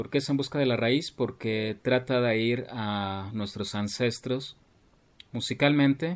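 A man's medium pitch at a very slow pace, with ordinary pitch variation. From Mexico City. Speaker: keyboardist and composer. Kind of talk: interview.

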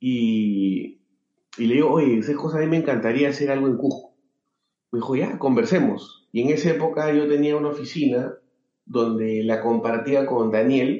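At a moderate pace, a man talks with very even loudness. His pitch is fairly high and varies an ordinary amount. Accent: Peruvian. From Peru, Lima. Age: 40s. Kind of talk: interview. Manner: halting, many fillers.

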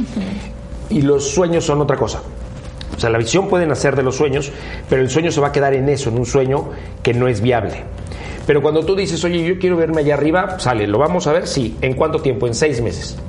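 A man with a fairly high pitch talks at a fairly quick pace, with ordinary pitch variation and very even loudness. Audible room echo and noticeable background noise fill the recording. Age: 40s. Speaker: car brand executive. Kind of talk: interview. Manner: hesitant, many fillers.

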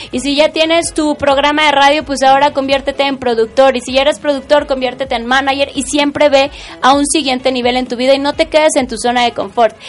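Amid noticeable background noise, a woman talks in an animated tone and a high pitch at a fairly quick pace with hardly any pauses. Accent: Mexican. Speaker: radio host. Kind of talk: casual interview chat.

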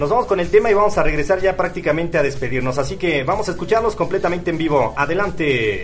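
A man with a high-pitched voice rattles along at a very fast pace with hardly any pauses and lively intonation. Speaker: radio host. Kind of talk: radio show. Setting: studio.

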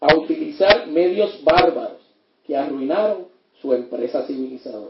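A man's fairly high voice with lively intonation, at a fairly slow pace. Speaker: criminologist and lecturer. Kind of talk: lecture.

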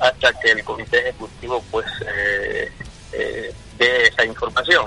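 Noticeable background noise is present. A man talks fairly slowly. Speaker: football club executive. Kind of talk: radio interview.

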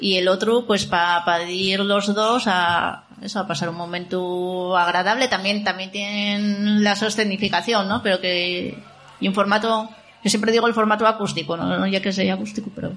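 A woman of medium pitch speaks at a moderate pace with monotone, flat intonation. Audible room echo and noticeable background noise surround her. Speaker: poet. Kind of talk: casual chat. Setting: stage with audience.

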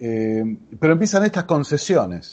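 A man with an Argentine accent speaks at a fairly slow pace with ordinary pitch variation. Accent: Argentine Spanish (Rioplatense). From Argentina. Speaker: podcaster. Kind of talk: interview.

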